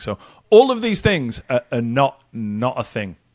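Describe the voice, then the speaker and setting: A man is speaking. He has an English accent. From UK. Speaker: podcast host. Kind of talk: casual chat.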